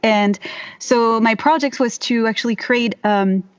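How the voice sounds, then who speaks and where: A woman speaks with a French accent at a fairly high pitch. The sound is dry and close, with no echo. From France. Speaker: herbalist and voiceover artist. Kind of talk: casual interview. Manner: halting, many fillers.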